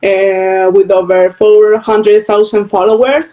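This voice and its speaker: A woman with a South American accent speaks at a fairly slow pace. Her pitch is fairly high. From Venezuela. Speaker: storyteller and interviewer. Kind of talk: interview. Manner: halting.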